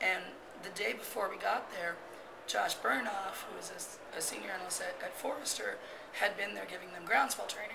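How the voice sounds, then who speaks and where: A woman at a very fast pace, with noticeable background noise. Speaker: interviewee. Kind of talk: interview answer. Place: hall.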